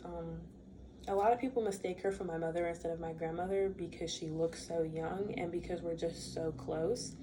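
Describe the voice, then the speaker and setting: Amid noticeable background noise and audible room echo, a woman speaks at a moderate pace with a fairly low pitch. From US, raised in a Bermudian household. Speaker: student. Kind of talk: class speech. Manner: casual.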